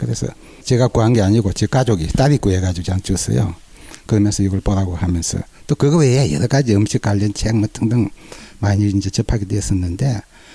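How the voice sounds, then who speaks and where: Recorded dry and close with no echo, a man with a fairly low pitch talks very fast in a very even loudness and lively intonation. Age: 60s. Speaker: cancer patient. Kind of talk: interview testimony.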